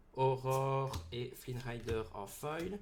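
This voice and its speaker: A medium-pitched man's voice with a strong Belgian accent and audible room echo. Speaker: card game YouTuber. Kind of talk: booster pack opening video. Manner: loud, excitable.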